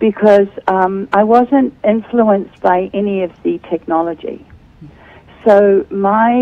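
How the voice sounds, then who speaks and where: Over noticeable background noise, a woman with a New Zealand accent speaks at a medium pitch with ordinary pitch variation. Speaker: author and speaker. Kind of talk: interview. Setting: Skype video call.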